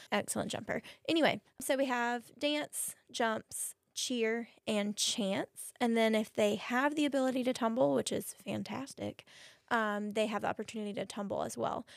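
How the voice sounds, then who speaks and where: A woman speaks in a normal speaking voice at a fairly high pitch and a moderate pace, with ordinary pitch variation. The recording is very clean, dry and close with no echo, over a silent background. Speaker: cheerleading coach and math teacher. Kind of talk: casual interview chat.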